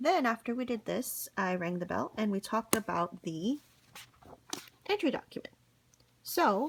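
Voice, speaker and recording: Here a woman speaks in a whisper. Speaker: school teacher. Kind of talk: recorded classroom instructions. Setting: at home. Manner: whispering.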